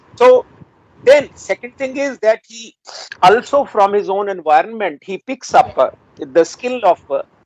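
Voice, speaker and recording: The speaker has a Punjabi accent. The delivery runs at a fairly slow pace. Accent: Indian Punjabi English. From rural Punjab, India. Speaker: retired English professor. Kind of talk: interview. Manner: hesitant, many fillers.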